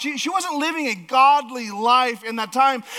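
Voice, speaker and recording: A moderate pace with noticeable background noise. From Alaska. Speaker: pastor. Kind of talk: sermon. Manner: halting, many fillers.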